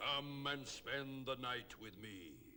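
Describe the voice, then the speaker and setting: Medium in pitch, a man's voice comes through. He is doing a put-on character voice. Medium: read story.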